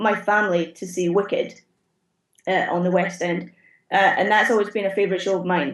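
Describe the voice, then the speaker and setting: A woman speaks with a Scottish accent at medium pitch. The recording is very clean, with a silent background. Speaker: theatre automation technician. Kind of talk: interview answer.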